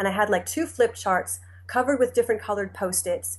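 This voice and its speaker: A woman with an American accent at a very fast pace, against a quiet background. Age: 40s. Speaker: novelist. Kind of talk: interview.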